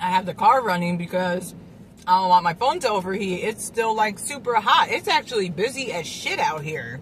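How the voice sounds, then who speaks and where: A woman's voice at a moderate pace with very wide pitch swings, dry with no echo, over light background noise. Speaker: food vlogger. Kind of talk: casual vlog chat. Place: car. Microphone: phone near.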